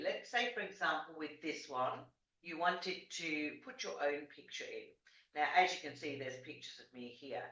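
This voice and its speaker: A woman with a fairly low pitch talks at a moderate pace, her loudness swinging widely. Room echo is audible. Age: 60s. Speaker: life coach. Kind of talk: tutorial. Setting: video call. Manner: casual, hesitant.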